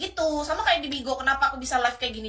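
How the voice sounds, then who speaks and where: A woman speaks very fast in a raised, projected voice, shrill with a bright, sharp tone. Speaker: livestream host. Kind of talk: livestream chat with viewers. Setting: live stream. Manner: casual, chatty.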